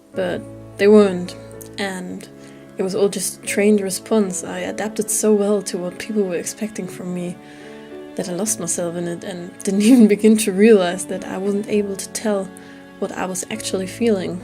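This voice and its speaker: Music plays in the background as a woman speaks at a moderate pace, medium in pitch with fairly even intonation. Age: 20s. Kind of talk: personal vlog voiceover. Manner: candid, reflective.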